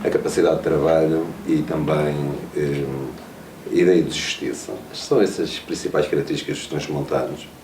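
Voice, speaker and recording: Moderate pace from a man, amid noticeable background noise and audible room echo. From Trás-os-Montes, northern Portugal (Vila Pouca de Aguiar). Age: 40s. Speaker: mayor. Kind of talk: interview. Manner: hesitant, with frequent fillers and repetitions.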